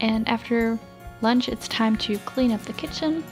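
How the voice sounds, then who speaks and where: A woman talks fairly slowly. Behind her, music can be heard. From Austria. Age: 20s. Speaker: au pair. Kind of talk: casual vlog narration.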